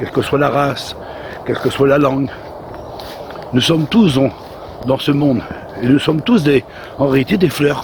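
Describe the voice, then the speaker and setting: Through noticeable background noise, a man with a fairly high pitch talks at a moderate pace. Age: 60s. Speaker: lay preacher. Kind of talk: sermon. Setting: outdoors. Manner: halting.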